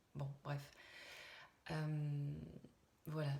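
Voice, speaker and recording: A soft-spoken woman's very deep, low voice, somewhat breathy and flat in intonation, with audible room echo. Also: dark, mellow tone. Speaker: medium. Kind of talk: channeled spiritual message. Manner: halting, many hesitations. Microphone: viewers say too quiet.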